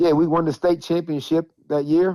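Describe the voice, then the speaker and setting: A man speaks with an American accent. His tone is dark and mellow. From US Midwest, Saginaw, Michigan. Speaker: former pro basketball player and media personality. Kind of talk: casual interview chat.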